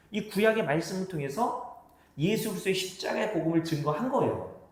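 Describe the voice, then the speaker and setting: A man speaks fairly quickly with lively intonation, amid audible room echo and noticeable background noise. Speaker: pastor. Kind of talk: sermon. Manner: fast.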